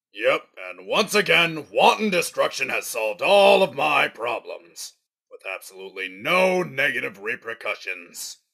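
A man's raised, projected voice with big swings in loudness. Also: moderate pace. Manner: smug, irritable.

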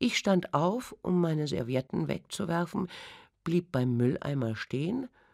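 Recorded very cleanly against a silent background, a woman speaks at a fairly slow pace with vocal fry, the sound dry and close with no echo. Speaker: audiobook narrator. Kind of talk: audiobook reading. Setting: studio. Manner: sensual, intense.

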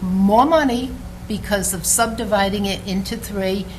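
A woman speaks at a fairly slow pace. There is noticeable background noise and audible room echo. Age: 70s. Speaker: resident speaking at council meeting. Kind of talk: public comment. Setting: city council meeting.

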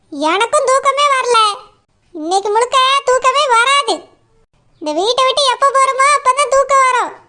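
This woman performs a cartoonish character voice pitched extremely high. She delivers it at a fairly slow pace. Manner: curt, suspicious, bossy.

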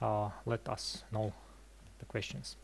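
The pace here is moderate. The speaker is a man. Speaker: presenter. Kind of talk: lecture. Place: hall. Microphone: headset.

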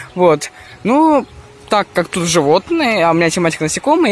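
A man's high-pitched voice at a moderate pace. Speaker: ant-keeping vlogger. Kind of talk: vlog walkthrough. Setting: indoors at a zoo with crowds. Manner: casual, filler-heavy.

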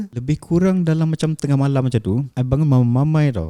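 The tone is dark and mellow, with lively intonation. The pace is fairly quick. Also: man. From Malaysia, Shah Alam. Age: 30s. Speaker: event manager and property investor. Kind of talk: interview testimony. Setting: studio.

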